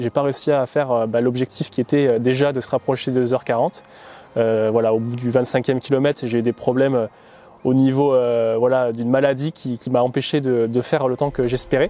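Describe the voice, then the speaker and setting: A man speaks at a medium pitch in a flat, monotone way. Noticeable noise runs in the background. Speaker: amateur marathon runner, vlogger. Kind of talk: documentary interview. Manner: hesitant, many fillers.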